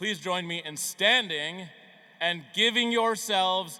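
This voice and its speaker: A man speaks over noticeable background noise. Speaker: commencement keynote speaker. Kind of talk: commencement speech. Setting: stage with audience.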